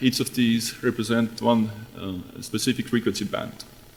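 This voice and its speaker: A man with an Estonian accent speaks at a moderate pace in a medium pitch. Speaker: radiation researcher. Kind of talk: conference talk. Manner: halting.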